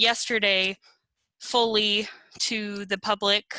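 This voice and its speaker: A woman speaks with a fairly high pitch and a bright, sharp tone at a fairly slow pace. The recording is very clean, with a silent background. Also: dry, close sound with no echo. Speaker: archivist. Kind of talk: virtual meeting discussion. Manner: muffled; hesitant.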